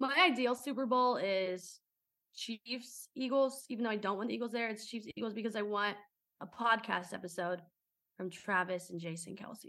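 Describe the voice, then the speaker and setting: Speaking at a moderate pace in an American accent, the voice has a bright, sharp tone and ordinary pitch variation. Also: woman. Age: 20s. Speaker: sports podcast co-host. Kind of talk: casual chat.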